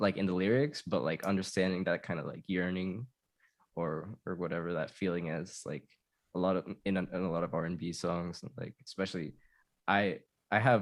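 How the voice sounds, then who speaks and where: The pace is fairly quick, yet long, frequent pauses break it up, with ordinary pitch variation throughout. The recording is very clean, with a silent background. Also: man, very deep, low pitch for a man. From Tijuana, Mexico, raised in San Diego. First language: Spanish. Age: 30s. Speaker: musician. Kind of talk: casual chat. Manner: halting.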